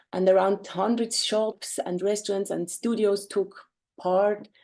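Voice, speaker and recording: A woman with a German accent speaks at medium pitch in a monotone, flat intonation, her tone dark and mellow. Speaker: artist and lawyer presenting a project. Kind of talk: webinar presentation. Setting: video call. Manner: halting, many fillers.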